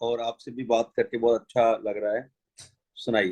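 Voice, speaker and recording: This man speaks with a Rajasthani accent. His pitch is medium. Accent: Rajasthani Hindi. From Jaisalmer, Rajasthan, India. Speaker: folk musician. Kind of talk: interview.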